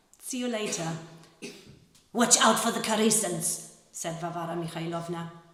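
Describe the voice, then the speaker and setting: This woman's voice sounds somewhat breathy. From Germany. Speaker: actress and translator. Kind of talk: literary reading to a live audience.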